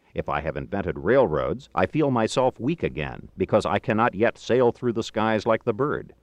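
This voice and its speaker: A man speaks with vocal fry and very wide pitch swings. He leaves hardly any pauses. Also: medium pitch for a man, moderate pace. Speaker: audiobook narrator. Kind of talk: audiobook reading of a philosophical text, scripted narration.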